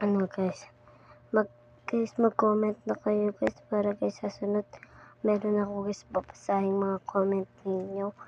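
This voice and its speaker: A soft-spoken woman with a medium pitch talks at a moderate pace in a dry, close sound with no echo. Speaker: gaming vlogger. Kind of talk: casual vlog talk to viewers.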